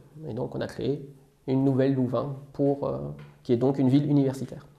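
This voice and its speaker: A man's fairly high voice carries a dark, mellow tone at a moderate pace. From Belgium. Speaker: software engineer. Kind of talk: casual interview. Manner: hesitant, many fillers.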